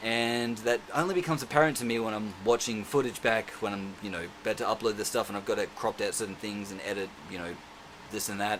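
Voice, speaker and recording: A man with a medium pitch talks at a very fast pace. His pitch varies in an ordinary way. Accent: Australian. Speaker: self-defence instructor vlogger. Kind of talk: casual vlog monologue. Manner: rambling with many fillers.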